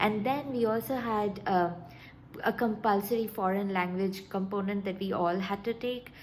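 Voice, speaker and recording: A woman at a moderate pace over noticeable background noise. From India, Calcutta. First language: Bengali. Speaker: vlogger. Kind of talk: casual vlog talk. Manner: halting, many fillers and restarts.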